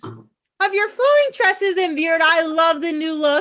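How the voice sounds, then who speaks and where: A woman does a squeaky put-on character voice at an extremely high pitch, speaking at a fairly slow pace with ordinary pitch variation. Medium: stage play. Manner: polite, dry.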